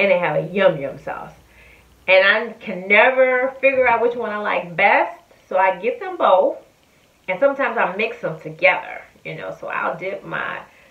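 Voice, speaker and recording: Big swings in loudness mark this woman's moderate-paced speech. Audible room echo fills the recording. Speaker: food reviewer. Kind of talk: casual vlog chat. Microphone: phone near.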